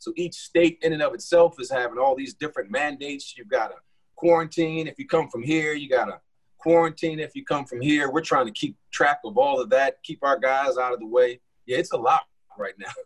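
This man has a plain, everyday voice with an American accent. His pitch is fairly high, with ordinary pitch variation. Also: fairly quick pace, big swings in loudness. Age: 40s. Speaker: college basketball coach. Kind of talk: casual chat.

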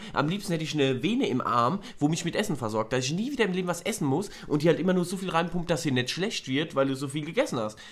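This man talks at a very fast clip, pitched high for a man, with lively intonation and hardly any pauses. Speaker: podcast co-host. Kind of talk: casual chat.

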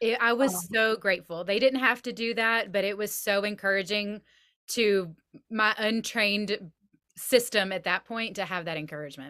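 With an American accent and a bright, sharp tone, a woman speaks at medium pitch and a moderate pace with ordinary pitch variation on a very clean recording with a silent background. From US South. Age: 40s. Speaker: podcast host. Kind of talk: casual chat. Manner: animated.

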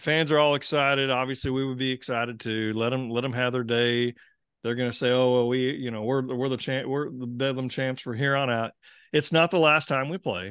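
A plain, everyday voice from a man with an American accent, medium in pitch, fairly quick, with fairly even intonation. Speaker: sports podcast host. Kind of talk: casual chat.

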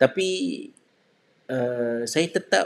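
A man speaks very slowly at a medium pitch, his intonation lively. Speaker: religious teacher. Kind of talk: religious talk. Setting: live stream. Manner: halting.

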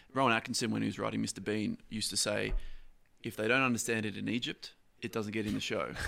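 Speaking very fast with an Australian accent, the voice comes through on a very clean recording with a silent background. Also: man. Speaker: comedian. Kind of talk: casual podcast interview.

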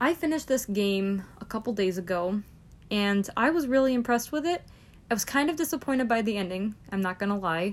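A normal speaking voice with lively intonation. The recording is very clean, with a silent background. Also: woman, fairly high pitch for a woman, fairly quick pace. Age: 20s. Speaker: gaming podcast host. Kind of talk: casual solo talk.

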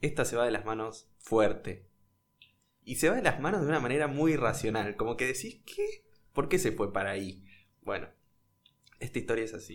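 Speaking in a Rioplatense accent at medium pitch, a man keeps a moderate pace with lively intonation and long, frequent pauses. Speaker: podcast host. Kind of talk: storytelling chat.

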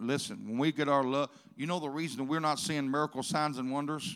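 Talking at a very fast pace in a Southern US accent, the man has a fairly high pitch and ordinary pitch variation. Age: old. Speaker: pastor. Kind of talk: sermon. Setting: church.

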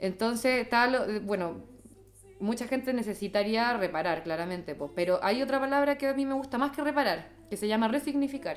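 In a Chilean accent, a woman with a fairly high pitch speaks with lively intonation. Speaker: psychologist. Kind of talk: interview. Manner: fast.

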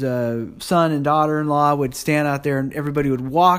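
An unremarkable speaking voice from a man with an American accent, fairly high in pitch, with fairly even intonation and a moderate pace. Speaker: travel diarist. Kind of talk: reading aloud; casual chat.

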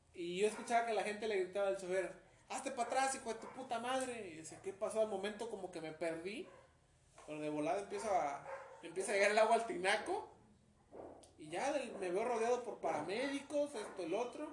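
With lively intonation and a high pitch for a man, he talks at a fairly quick pace, his loudness swinging widely, and audible room echo surrounds the voice. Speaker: wheelchair user sharing life story. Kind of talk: casual interview.

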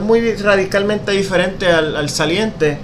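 With noticeable background noise and audible room echo, a man speaks at a high pitch with fairly even intonation. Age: 20s. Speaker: car podcast host. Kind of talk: casual chat.

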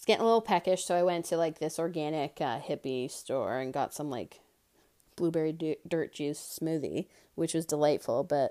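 This woman has a dark, mellow tone and talks at a moderate pace. The recording is very clean, with a silent background. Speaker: podcaster. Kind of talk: casual solo monologue. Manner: fumbling over words.

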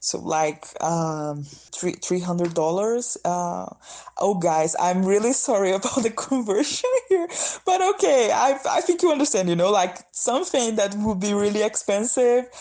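A dark, mellow tone carries very wide pitch swings. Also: woman, medium pitch for a woman, fairly slow pace. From northeast Brazil, São Luís. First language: Brazilian Portuguese. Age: 20s. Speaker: student and diversity activist. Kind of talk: recorded voice message. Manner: halting, repeated words.

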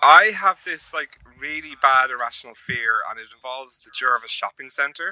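Man with an Irish accent, medium pitch and ordinary pitch variation, moderate pace with hardly any pauses, big swings in loudness, and a dry, close sound with no echo. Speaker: podcast co-host. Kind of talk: casual chat.

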